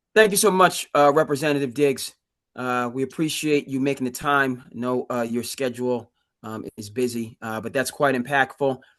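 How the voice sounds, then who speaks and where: A man with an ordinary speaking voice talks at a moderate pace in a medium pitch. His loudness swings widely against a quiet background. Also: ordinary pitch variation. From Cape Cod, Massachusetts. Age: 30s. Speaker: community forum organizer. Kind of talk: moderated public forum.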